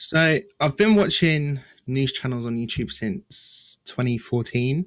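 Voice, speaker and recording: At a very slow pace, a man with an English accent talks with lively intonation and a fairly high pitch. The recording is very clean with a silent background, and the sound is dry and close with no echo. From rural England. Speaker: gaming news YouTuber. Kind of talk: podcast interview.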